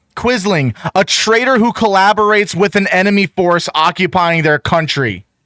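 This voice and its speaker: High-pitched man's raised, projected voice at a moderate pace, with very even loudness, ordinary pitch variation and hardly any pauses. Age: 20s. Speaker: streamer reacting to videos. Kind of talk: reaction commentary. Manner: animated.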